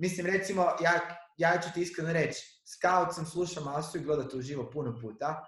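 A man's voice at a fairly quick pace, with ordinary pitch variation and audible room echo. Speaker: podcast host, stand-up comedian. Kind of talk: casual chat.

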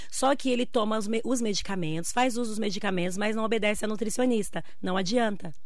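Speaking very fast with hardly any pauses, a woman uses a fairly high pitch and ordinary pitch variation. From Brazil, Bahia interior. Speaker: nutritionist. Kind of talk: radio interview.

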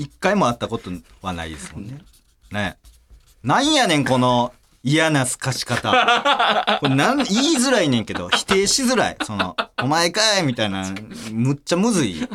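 In a Kansai accent, a man with a fairly high pitch speaks at a moderate pace, his tone animated and his pitch swinging very widely. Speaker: podcast host. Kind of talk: casual chat.

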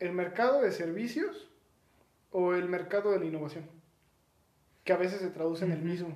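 In a Mexican accent, a man talks at a moderate pace with ordinary pitch variation, and room echo is audible. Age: 20s. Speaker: podcast co-host. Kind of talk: casual chat.

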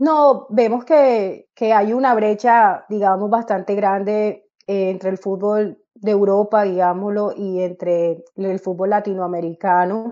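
At a very slow pace with hardly any pauses, a woman speaks in a dark, mellow tone of medium pitch and ordinary pitch variation. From Colombia, Caribbean coast (Barranquilla). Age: 30s. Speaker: football coach. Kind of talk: interview.

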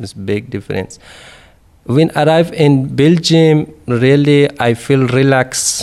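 Man with an Afghan accent, fairly high pitch, and ordinary pitch variation. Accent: Afghan Dari-accented English. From Afghanistan. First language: Dari. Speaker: refugee, civil engineer. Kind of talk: personal testimony interview. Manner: halting, hesitant.

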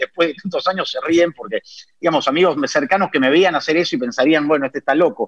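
With a dry, close sound and no echo, a man speaks very fast at a high pitch with ordinary pitch variation. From Peru. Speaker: sports commentator. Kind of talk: interview.

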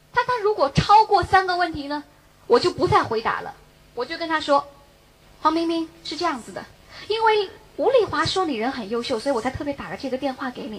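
A woman with an extremely high pitch and an animated tone, very wide pitch swings, big swings in loudness and a fairly quick pace, over noticeable background noise. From Beijing. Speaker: direct sales distributor. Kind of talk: motivational talk.

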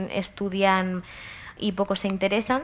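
Here a woman speaks in a plain, everyday voice. Her pitch is medium and her pace fairly slow. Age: 20s. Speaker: psychology student. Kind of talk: interview questions.

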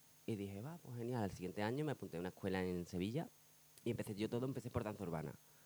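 A man talks at a very fast pace with a fairly low pitch. His tone is dark and mellow. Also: lively intonation. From Spain, Badajoz (Extremadura). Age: 30s. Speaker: dancer. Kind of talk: casual interview chat.

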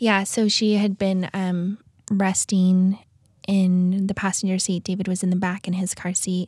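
Speaking with an American accent, a woman uses a medium pitch and a somewhat breathy voice at a fairly slow pace. Her intonation is monotone and flat, and the sound is dry and close with no echo. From US West, South Lake Tahoe, California. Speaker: stay-at-home mom sharing trauma story. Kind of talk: testimony. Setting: studio. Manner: halting with fillers.

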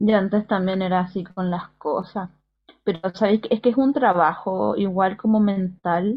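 A somewhat breathy woman with a Chilean accent. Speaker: podcast co-host. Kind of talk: casual chat.

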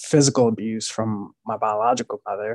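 A man's unremarkable speaking voice with an American accent and fairly even intonation, dry and close with no echo. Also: quiet background. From Maryland, US. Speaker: poet and musician. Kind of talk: casual interview conversation.

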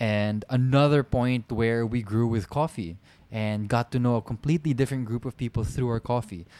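A man's dark, mellow voice at medium pitch with ordinary pitch variation, a dry, close sound with no echo, and a very clean recording with a silent background. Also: moderate pace. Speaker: podcast co-host. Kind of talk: casual chat. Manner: sing-song modulated.

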